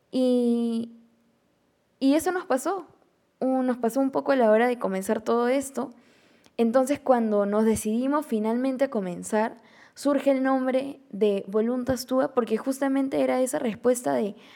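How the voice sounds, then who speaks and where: On a very clean recording with a silent background, a woman with a high voice and a dark, mellow tone speaks at a fairly slow pace. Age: 20s. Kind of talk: religious reflection monologue. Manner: hesitant, with fillers.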